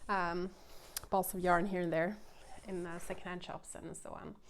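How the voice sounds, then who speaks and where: A woman's medium-pitched voice with a Swedish accent. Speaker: knitting podcaster. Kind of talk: casual chat. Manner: halting.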